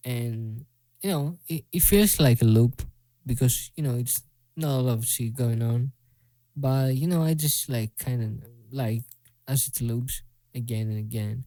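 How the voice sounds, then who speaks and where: Dark and mellow in tone, a man's medium-pitched voice carries a Greek accent and ordinary pitch variation. He speaks at a fairly slow pace with long, frequent pauses. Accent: Greek accent, self-described as bad. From Greece. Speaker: music producer. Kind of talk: casual tutorial. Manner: halting, filler-heavy.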